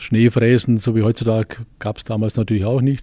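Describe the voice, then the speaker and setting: A man talks at a medium pitch with a dark, mellow tone and fairly even intonation. The recording is very clean, with a silent background. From Westallgäu, Bavaria. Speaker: fitness studio owner and football coach. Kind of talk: interview.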